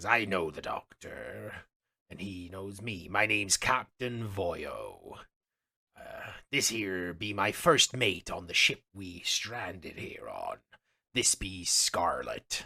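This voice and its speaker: In a raspy, fairly low put-on character voice, a man speaks at a very slow pace over a very clean recording with a silent background. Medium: actual play. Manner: hearty, folksy pirate talk.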